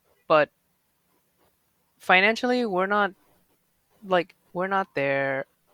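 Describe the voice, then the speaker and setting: A man's raised, projected voice in an American accent, high-pitched with a bright, sharp tone and ordinary pitch variation, at a very slow pace with long, frequent pauses, in a dry, close sound with no echo. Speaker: podcast guest. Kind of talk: casual chat.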